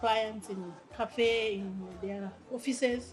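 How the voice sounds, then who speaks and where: A woman with a Rwandan accent speaks at a fairly high pitch against noticeable background noise. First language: Kinyarwanda. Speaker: language teacher and translator. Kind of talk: interview. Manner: halting, with many fillers.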